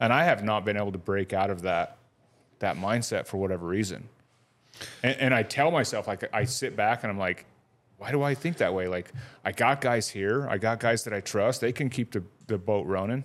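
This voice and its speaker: A man speaks at a fairly quick pace in a normal speaking voice, his fairly low pitch showing ordinary variation. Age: 40s. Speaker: podcast host, motorcycle shop owner. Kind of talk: casual chat. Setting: studio.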